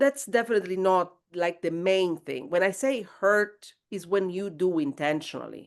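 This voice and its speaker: This woman talks at a very slow pace with a medium pitch. Her intonation is lively. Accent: Italian. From southern Italy. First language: Italian. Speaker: guest. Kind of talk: podcast interview. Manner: halting.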